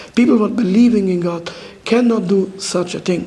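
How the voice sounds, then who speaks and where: A man with a non-native accent speaks at a high pitch and a moderate pace, using ordinary pitch variation. Audible room echo and noticeable background noise surround him. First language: not English. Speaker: orthodox rabbi. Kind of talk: public talk at a community dialogue event. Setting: community event with live audience. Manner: halting, broken English phrasing.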